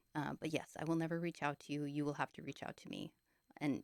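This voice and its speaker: A woman speaks quietly at a fairly quick pace, her pitch very deep and low, in a dry, close sound with no echo. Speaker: video blogger sharing dreams. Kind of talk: casual monologue. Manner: quiet, hushed; hesitant, many fillers.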